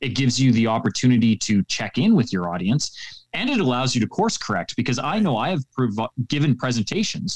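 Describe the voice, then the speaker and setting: In a normal speaking voice, a man with a Canadian accent talks at a moderate pace and medium pitch, his intonation lively, the sound dry and close with no echo. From Canada. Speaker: public speaking coach. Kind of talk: interview. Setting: remote call.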